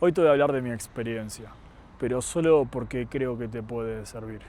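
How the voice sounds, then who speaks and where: In an Argentine accent, a man with a dark, mellow tone and medium pitch talks fairly slowly with fairly even intonation. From Argentina. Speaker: youtuber sharing personal story. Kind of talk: personal monologue to camera.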